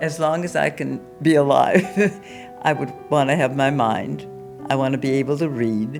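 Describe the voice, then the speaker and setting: Over music in the background, a woman with a very deep, low pitch speaks at a moderate pace with ordinary pitch variation and long, frequent pauses. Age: 80s+. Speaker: amateur violinist. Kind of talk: interview answer.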